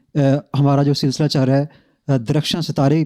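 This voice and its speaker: A man speaks in a dark, mellow tone at a fairly high pitch. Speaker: interviewer. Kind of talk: interview host introduction and questions.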